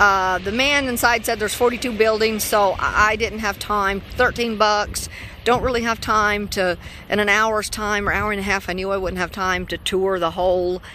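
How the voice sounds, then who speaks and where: Speaking at a moderate pace with fairly even intonation, a woman is heard in a dry sound with no echo and light background noise. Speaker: solo road trip vlogger. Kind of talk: casual vlog chat. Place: street. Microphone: phone near.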